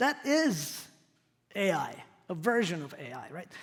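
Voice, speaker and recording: A man speaks at a high pitch with a Croatian accent. Room echo is audible. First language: not English. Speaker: professor. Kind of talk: lecture. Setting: stage with audience.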